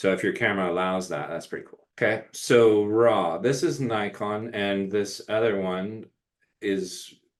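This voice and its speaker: A man with an unremarkable speaking voice, fairly low pitch and ordinary pitch variation. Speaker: photography instructor. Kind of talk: webinar tutorial. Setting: live webinar video call.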